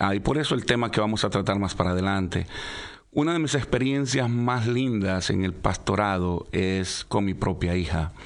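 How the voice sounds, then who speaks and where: Here is a man with an unremarkable speaking voice, fairly low in pitch with ordinary variation. His loudness stays very even and his pace is moderate. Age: 50s. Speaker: pastor. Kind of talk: radio interview, personal testimony.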